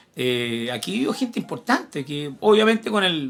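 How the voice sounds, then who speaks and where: A man talks fairly slowly. Behind him, music plays. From Chile, Santiago. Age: 60s. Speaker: history teacher. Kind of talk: casual chat.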